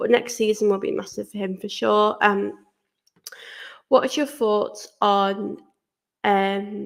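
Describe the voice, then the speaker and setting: Speaking very slowly with long, frequent pauses, a woman talks in an English accent. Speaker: football fan channel host. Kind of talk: casual Q&A chat to camera.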